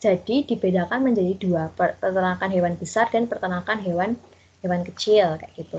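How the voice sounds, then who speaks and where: Speaking at a moderate pace, a woman has a normal speaking voice at medium pitch with ordinary pitch variation. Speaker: student teacher. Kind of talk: online class lesson. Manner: casual, conversational.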